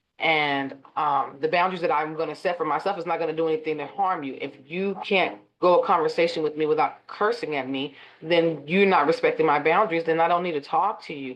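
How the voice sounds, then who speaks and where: Here a woman with an ordinary speaking voice talks at a fairly quick pace in a fairly low pitch. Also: ordinary pitch variation. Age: 40s. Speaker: life coach. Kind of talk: interview.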